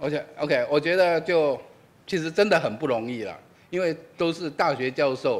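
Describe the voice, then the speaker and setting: His pitch moves in an ordinary way. The man talks at a moderate pace. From Taiwan. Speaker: physics professor, event moderator; physics professor. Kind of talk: introduction at public lecture; lecture. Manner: hesitant, many fillers. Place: hall. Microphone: podium.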